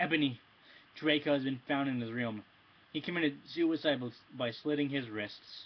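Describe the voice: Reading aloud, plainly done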